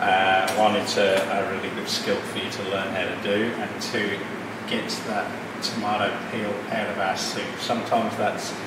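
A man at a moderate pace, with audible room echo and loud background noise. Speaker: cooking teacher. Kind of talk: tutorial. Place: kitchen. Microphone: camera far.

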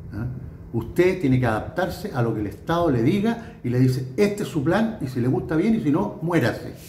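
There is audible room echo. Light background noise can be heard too. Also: man. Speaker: political commentator. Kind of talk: political commentary monologue. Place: home room. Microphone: phone near.

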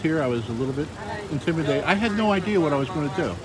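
The voice has ordinary pitch variation. The recording is dry with no echo and has noticeable background noise. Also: man. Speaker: street evangelist filming. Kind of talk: casual storytelling. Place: street.

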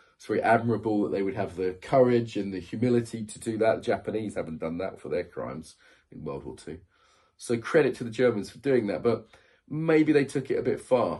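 Over a quiet background, a man with a British accent speaks at a fairly quick pace in a dark, mellow tone. His voice carries vocal fry and big swings in loudness. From UK. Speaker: YouTuber. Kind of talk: video monologue. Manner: casual, conversational. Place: home room. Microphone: phone near.

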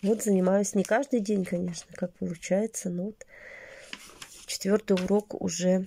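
Light background noise sits under a somewhat breathy voice with a dark, mellow tone, fairly even intonation, a fairly slow pace, and long, frequent pauses. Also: woman. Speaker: lifestyle vlogger; vlogger. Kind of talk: casual vlog monologue. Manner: chatty, filler-heavy. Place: home room. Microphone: phone near.

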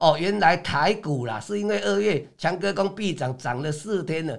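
Over a quiet background, a man with a fairly high pitch and vocal fry speaks at a fairly slow pace, animated in tone and lively in intonation. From Taiwan. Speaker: stock market commentator; stock market analyst. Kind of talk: market analysis livestream; market commentary broadcast. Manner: filler-heavy, frequent 哦 and 啊. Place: studio.

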